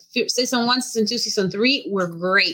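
With a Mexican accent, a woman speaks in a bright, sharp tone at a fairly high pitch, with lively intonation. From Mexico. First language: Spanish. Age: 30s. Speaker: professional wrestler. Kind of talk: casual interview.

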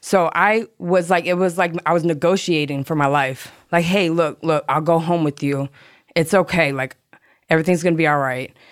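A woman with a normal speaking voice and an American accent, fairly low pitch, fairly even intonation and moderate pace, on a very clean recording with a silent background. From South Florida (Hollywood, Florida). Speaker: person in addiction recovery. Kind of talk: personal testimony.

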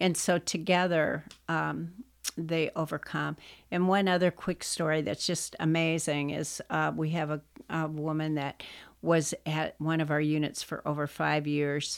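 A woman with an American accent speaks at a very deep, low pitch and a fairly slow pace. Her intonation is monotone and flat, on a very clean recording with a silent background. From US Northeast, western Pennsylvania. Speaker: prison ministry leader. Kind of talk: testimony.

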